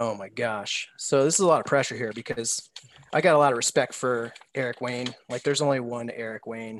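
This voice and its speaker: With ordinary pitch variation, a normal speaking voice proceeds at a fairly quick pace. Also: man, medium pitch for a man. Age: 40s. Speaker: baseball prospect analyst. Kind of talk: casual chat.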